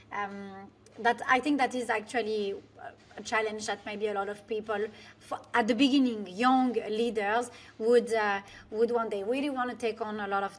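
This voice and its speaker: A woman with a French accent speaks at a moderate pace in a fairly high pitch, her intonation fairly even. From France. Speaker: business coach, former finance executive. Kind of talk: interview. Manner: halting, with many fillers.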